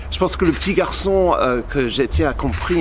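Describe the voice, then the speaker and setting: A man with a British accent speaks at a moderate pace over noticeable background noise. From Cornwall, England. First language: English (speaking French). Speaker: journalist. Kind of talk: talk to camera. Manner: halting.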